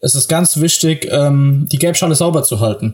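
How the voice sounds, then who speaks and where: A man speaks at a moderate pace with fairly high pitch. He has a plain, everyday voice. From southern Hesse, Germany. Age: 20s. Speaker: farmer's son and agriculture student. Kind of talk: podcast interview. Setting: remote call from home office. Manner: frequent fillers (äh, ähm).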